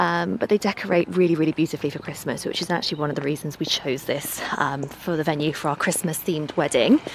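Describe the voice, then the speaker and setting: Noticeable background noise under a fairly quick pace. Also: woman. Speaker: lifestyle vlogger. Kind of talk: casual vlog chat.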